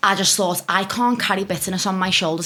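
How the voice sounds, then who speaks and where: Speaking with a Scouse accent, a woman talks at a very fast pace in a medium pitch with fairly even intonation. Noticeable background noise is present. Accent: Scouse (Liverpool) English. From northern England, Liverpool. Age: 20s. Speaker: relationship content creator. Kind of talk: casual podcast interview.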